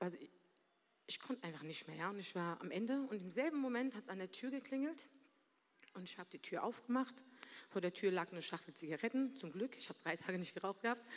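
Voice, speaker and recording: Speaking very fast but with long, frequent pauses, a woman uses lively intonation at a medium pitch. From Berlin, Germany. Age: 40s. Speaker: church member sharing a story. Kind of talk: testimony. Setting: stage with audience.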